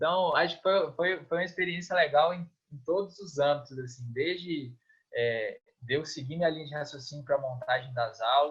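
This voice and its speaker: A man talks at a moderate pace with a fairly high pitch. His voice is somewhat breathy, with ordinary pitch variation. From Minas Gerais, Brazil (Governador Valadares). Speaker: physical education lecturer and swimming coach. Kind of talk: interview. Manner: casual, hesitant with many repetitions.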